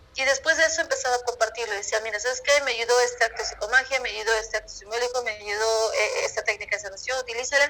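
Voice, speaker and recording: Speaking at a very fast pace with hardly any pauses, a woman uses a high pitch with ordinary variation and a bright, sharp tone. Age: 20s. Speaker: numerologist and holistic coach. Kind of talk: interview.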